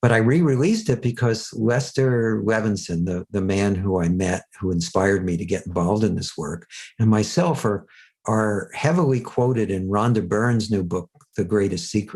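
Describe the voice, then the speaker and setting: Against a quiet background, a man speaks in a plain, everyday voice at a fairly low pitch and moderate pace. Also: lively intonation. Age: 60s. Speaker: self-help teacher and author. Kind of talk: podcast interview. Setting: podcast.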